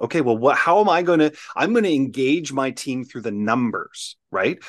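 With a Canadian accent, a plain, everyday voice moves at a moderate pace with lively intonation against a quiet background. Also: man. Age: 40s. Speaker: professional speaker and team-building consultant. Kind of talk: casual interview chat. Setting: his own studio, video call.

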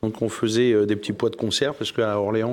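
A man with a plain, everyday voice talks at a medium pitch. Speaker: cereal farmer. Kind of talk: televised panel debate. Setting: studio with live audience.

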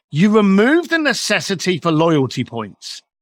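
A man talks at a fairly slow pace in a raised, projected voice with a bright, sharp tone. His delivery is animated, with very wide pitch swings and a dry, close sound with no echo. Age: 50s. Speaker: entrepreneur and coach, author and speaker. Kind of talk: casual interview conversation.

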